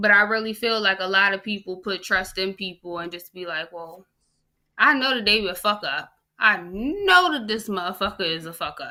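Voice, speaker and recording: On a very clean recording with a silent background, a woman speaks. Her tone is bright and sharp at a medium pitch. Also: ordinary pitch variation, moderate pace. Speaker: podcast co-host. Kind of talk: casual chat. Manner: animated; stuttering at times.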